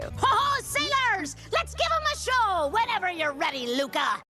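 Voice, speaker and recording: This is a cartoonish character voice at an extremely high pitch. Faint music plays in the background. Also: moderate pace. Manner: bold, theatrical.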